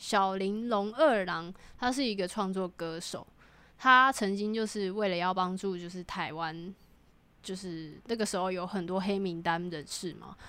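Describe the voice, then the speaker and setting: A woman talks fairly slowly in a plain, everyday voice. Her pitch is medium, with ordinary variation. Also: very clean recording, silent background. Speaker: podcast co-host. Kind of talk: casual chat.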